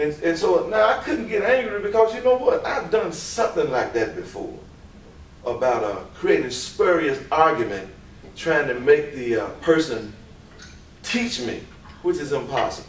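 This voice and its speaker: The recording has audible room echo. Noticeable background noise is present as well. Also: man, moderate pace. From US South, Memphis, Tennessee. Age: 50s. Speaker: teacher. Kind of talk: lecture. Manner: animated.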